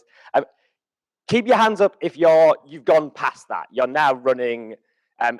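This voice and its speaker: A man with a British accent and a fairly high pitch, lively intonation, big swings in loudness, long and frequent pauses, and a dry, close sound with no echo. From UK. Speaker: conference speaker. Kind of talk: keynote talk. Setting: stage with audience. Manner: hesitant, many fillers.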